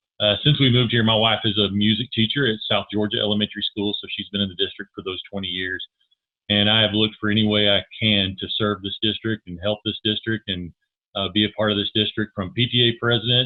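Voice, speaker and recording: Using an ordinary speaking voice with an American accent, a man talks fairly quickly at a fairly low pitch with fairly even intonation. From Texas Panhandle. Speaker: school board candidate, minister. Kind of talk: candidate forum introduction.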